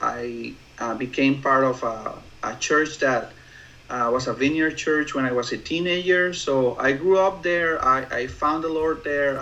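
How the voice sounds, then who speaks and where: Against noticeable background noise, the speaker talks at a fairly slow pace with fairly even intonation. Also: man. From Mexico, Mexicali. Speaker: church planter. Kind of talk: interview. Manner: halting. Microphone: poor audio.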